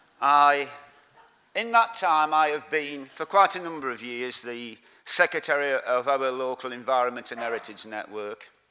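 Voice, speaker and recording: With a Lancashire accent, a man speaks at a moderate pace in a medium pitch, with a bright, sharp tone and ordinary pitch variation. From Lancashire, northern England. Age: 60s. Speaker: community activist. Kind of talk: conference speech.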